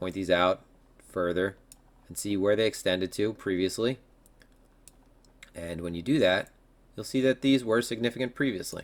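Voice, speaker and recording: Pitched fairly low, a man talks with ordinary rise and fall in his voice. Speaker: crypto market analyst. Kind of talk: tutorial. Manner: fast.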